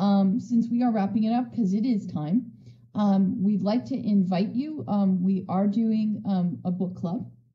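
At a fairly slow pace, a woman talks at a medium pitch with ordinary pitch variation and audible room echo.

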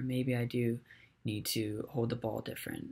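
A somewhat breathy man's voice. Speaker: college student. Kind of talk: recorded class presentation. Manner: hesitant, many filler words. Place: home room. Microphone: webcam.

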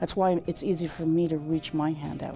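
Over faint music in the background, a woman talks at a moderate pace with a very deep, low pitch. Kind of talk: interview answer. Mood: reflective, earnest. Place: home room. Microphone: lapel.

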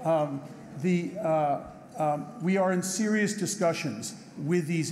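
Somewhat breathy and dark, mellow in tone, a man talks with ordinary pitch variation over light background noise. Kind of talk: speech with slides. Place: hall. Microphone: podium.

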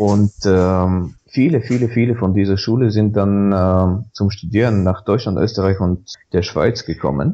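In a Bulgarian accent, the dark, mellow voice moves at a fairly slow pace with hardly any pauses, very even loudness and ordinary pitch variation over a quiet background. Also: man, fairly low pitch for a man. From Bulgaria (Sofia). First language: Bulgarian (speaking German). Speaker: Wikipedia volunteer. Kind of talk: podcast interview.

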